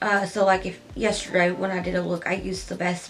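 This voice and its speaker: A soft-spoken voice at a moderate pace, with noticeable background noise. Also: woman. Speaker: beauty youtuber. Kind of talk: makeup tutorial. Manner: soft-spoken, talking quietly; loud by habit.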